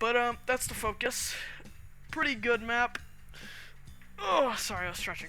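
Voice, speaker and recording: Music can be heard behind the voice. The pace of the talking is moderate. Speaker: gaming YouTuber. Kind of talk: gameplay commentary. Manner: halting, many fillers and pauses.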